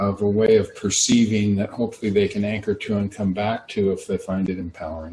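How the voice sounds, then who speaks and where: A soft-spoken, somewhat breathy man at a fairly low pitch and a moderate pace. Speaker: workshop facilitator. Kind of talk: casual chat.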